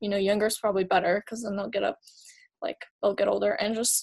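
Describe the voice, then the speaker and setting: A woman's medium-pitched voice with vocal fry, at a very fast pace. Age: 20s. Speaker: photographer. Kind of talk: casual chat.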